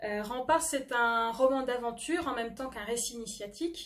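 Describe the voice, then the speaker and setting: A woman speaks with a high pitch. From France, Normandy (near Le Havre). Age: 20s. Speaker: novelist and history doctoral student. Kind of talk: book presentation to camera. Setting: self-recorded video. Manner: hesitant, frequent filler 'euh'.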